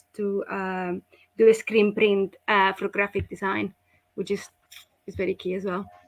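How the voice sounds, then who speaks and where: A woman in a Spanish accent, medium-pitched and monotone, at a moderate pace, with a dry, close sound and no echo. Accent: Spanish accent, obvious. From Spain. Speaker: school representative. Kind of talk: online presentation.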